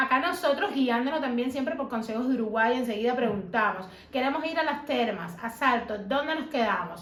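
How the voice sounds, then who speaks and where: A high-pitched woman's voice with lively intonation, at a fairly quick pace with hardly any pauses, amid noticeable background noise and audible room echo. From Cuba. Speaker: YouTuber interviewing her mother. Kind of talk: casual interview.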